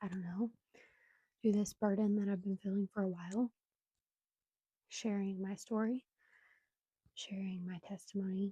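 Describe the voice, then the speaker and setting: Recorded with a dry, close sound and no echo, a woman at medium pitch speaks at a moderate pace in monotone, flat intonation, her dark, mellow tone somewhat breathy, with long, frequent pauses. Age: 20s. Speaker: podcaster sharing personal story. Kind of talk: testimony. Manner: halting, many fillers.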